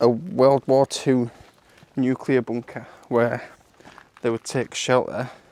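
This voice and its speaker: A man with a British accent at a very slow pace, medium pitch and fairly even intonation, dry and close with no echo. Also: long, frequent pauses. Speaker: outdoor vlogger. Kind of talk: vlog narration. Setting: outdoors in woods and bunker.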